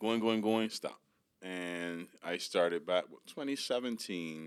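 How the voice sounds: The tone is clear and smooth. The pace is slow. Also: man, low pitch for a man, ordinary pitch variation.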